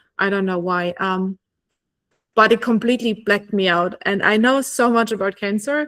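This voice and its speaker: A woman is speaking at a moderate pace. She has a German accent. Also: very clean recording, silent background. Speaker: oncology nurse and podcast host. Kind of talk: casual interview conversation.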